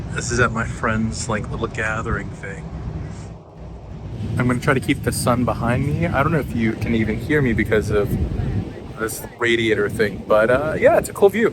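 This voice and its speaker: Amid noticeable background noise and audible room echo, a man with a medium pitch talks at a moderate pace with long, frequent pauses. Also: ordinary pitch variation. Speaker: vlogger. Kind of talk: casual vlog talk. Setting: outdoors.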